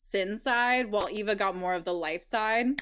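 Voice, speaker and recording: On a very clean recording with a silent background, a woman speaks loudly at a fairly slow pace. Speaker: live streamer and video creator. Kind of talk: casual live stream chat. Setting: live stream. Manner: giggly.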